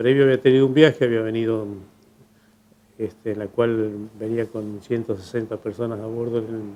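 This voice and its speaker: At a moderate pace, a man speaks in a flat monotone while his loudness swings widely. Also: medium pitch for a man. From Argentina, Trenque Lauquen (Buenos Aires province). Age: 70s. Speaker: local resident recounting history. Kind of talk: testimony. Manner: halting, with fillers.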